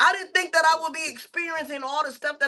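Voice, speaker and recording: A woman's raised, projected voice, high in pitch with fairly even intonation. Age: 50s. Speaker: podcast co-host. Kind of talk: casual chat.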